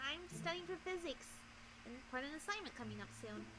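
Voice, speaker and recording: A female-sounding put-on character voice at a fairly quick pace, over loud background noise. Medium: audio drama. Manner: guarded, clipped.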